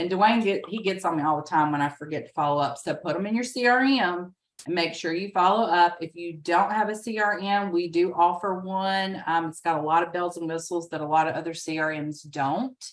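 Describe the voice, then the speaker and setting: In a Southern US accent, a woman speaks at a fairly quick pace with hardly any pauses, a fairly low pitch and ordinary pitch variation. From US South, rural. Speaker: real estate agent and trainer. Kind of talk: training webinar. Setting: video call with screen share.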